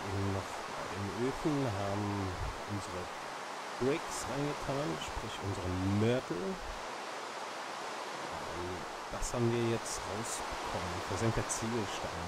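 A man talks at a fairly slow pace, with long, frequent pauses and ordinary pitch variation. Loud background noise runs underneath. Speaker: gaming channel host. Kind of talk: gameplay commentary. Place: home room.

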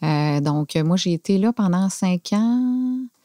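Heard against a quiet background with a dry sound and no echo, a woman speaks at a medium pitch with a dark, mellow tone. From Quebec City, Canada. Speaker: factory director. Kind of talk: casual interview. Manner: halting, hesitant, many fillers. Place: studio. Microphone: studio mic.

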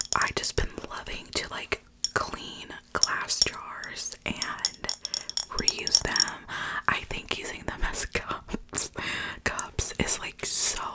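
Loud background noise surrounds a woman who speaks at a very slow pace. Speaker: ASMR creator. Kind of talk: casual soft-spoken ASMR chat. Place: home room. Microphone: studio mic.

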